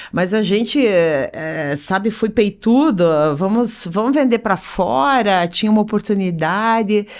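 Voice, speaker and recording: At a fairly slow pace, a woman speaks in a normal speaking voice at medium pitch with lively intonation. Her loudness stays very even. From Curitiba, Paraná, southern Brazil. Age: 50s. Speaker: business association president, entrepreneur. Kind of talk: podcast interview.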